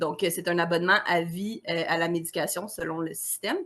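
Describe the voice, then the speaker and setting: The speaker is a woman with a medium-pitched voice. She talks at a fairly slow pace. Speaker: naturotherapist. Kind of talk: interview. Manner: animated.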